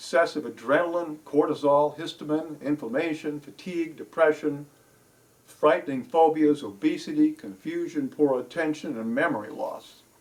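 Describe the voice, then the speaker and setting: A man talks at a moderate pace in an unremarkable speaking voice, with ordinary pitch variation. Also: fairly high pitch for a man. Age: 60s. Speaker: holistic health and life coach. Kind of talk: educational health talk.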